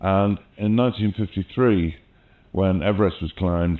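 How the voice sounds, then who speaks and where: A man's very deep, low voice in a southern English accent, at a moderate pace with fairly even intonation. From England, London (born in the Midlands). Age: 60s. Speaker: mountaineering filmmaker and artist. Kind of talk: oral history interview. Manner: conversational with fillers.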